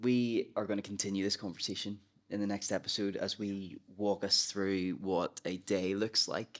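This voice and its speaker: A fairly low-pitched man with a Northern Irish accent and flat, monotone intonation, in a very clean recording with a silent background. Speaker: pastor. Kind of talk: casual chat.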